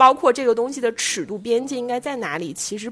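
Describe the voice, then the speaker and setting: Her intonation is lively. This woman speaks at a high pitch. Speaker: podcast co-host. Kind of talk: casual chat.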